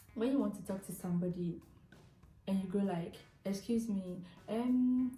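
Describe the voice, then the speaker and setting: Speaking at a fairly slow pace with fairly even intonation, a woman is heard with audible room echo. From Ghana. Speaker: YouTuber. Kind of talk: casual vlog talk. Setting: eating a snack while talking.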